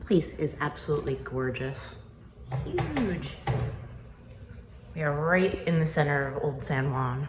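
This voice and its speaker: A woman's very deep, low voice, with long, frequent pauses, audible room echo and noticeable background noise. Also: ordinary pitch variation, fairly slow pace. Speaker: travel vlogger. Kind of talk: casual vlog narration. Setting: indoors in a rental apartment.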